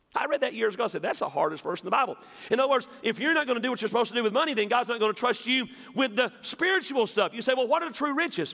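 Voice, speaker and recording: With a Southern US accent, a man speaks very fast in an extremely high, raised and projected voice with lively intonation. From West Tennessee. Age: 50s. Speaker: pastor. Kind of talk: sermon. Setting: church.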